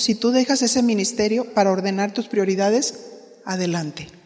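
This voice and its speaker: Against noticeable background noise, this woman talks at a moderate pace. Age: 60s. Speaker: pastor's wife and women's ministry teacher. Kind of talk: sermon.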